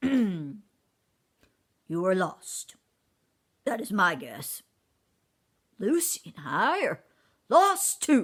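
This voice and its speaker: In a put-on character voice, a woman speaks raspily at a very slow pace with long, frequent pauses. Her fairly high pitch swings very widely. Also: big swings in loudness. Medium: read story. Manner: courtly, elaborate wording.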